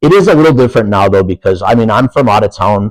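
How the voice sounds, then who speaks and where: Talking at a fairly quick pace with an animated tone, a man with an Upper Peninsula Michigan accent is heard in a dry, close sound with no echo and a quiet background. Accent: Upper Peninsula Michigan (Yooper). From Upper Peninsula of Michigan. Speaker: professional wrestler. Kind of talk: casual interview chat.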